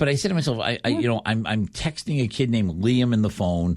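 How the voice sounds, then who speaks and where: In a very clean recording with a silent background, a man with a Boston accent talks at a fairly quick pace. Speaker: fill-in radio host. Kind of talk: casual chat. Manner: fast.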